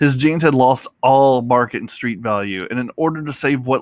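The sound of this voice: Unforced reading voice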